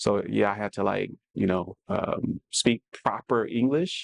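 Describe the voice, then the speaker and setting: A man with a New Orleans accent and a fairly low pitch, in dry, close sound with no echo. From New Orleans, US South. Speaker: podcast co-host, fashion stylist. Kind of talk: casual chat.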